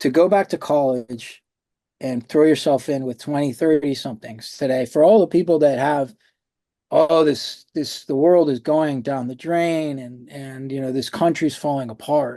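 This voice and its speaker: A man's fairly high yet dark, mellow voice at a moderate pace, with ordinary pitch variation and a quiet background. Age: 50s. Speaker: writer and actor. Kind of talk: interview. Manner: hesitant, many repetitions.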